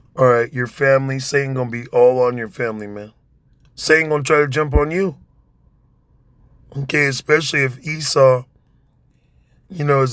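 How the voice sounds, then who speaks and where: A man's medium-pitched voice at a fairly quick pace, with long, frequent pauses and fairly even intonation. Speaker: preacher. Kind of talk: sermon. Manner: strained, sounds like yelling.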